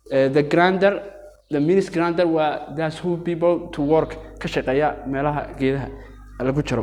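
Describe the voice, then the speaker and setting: A man with an Arabic accent and a fairly high, fairly even voice at a fairly quick pace, with audible room echo and music in the background. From Yemen. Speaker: teacher. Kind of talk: lecture. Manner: halting.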